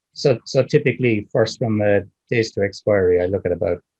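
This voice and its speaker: With an Irish accent, a man speaks at a fairly quick pace in a somewhat breathy, dark, mellow voice of medium pitch with ordinary pitch variation, the sound dry and close with no echo. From Ireland. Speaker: options trader. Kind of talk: interview answer.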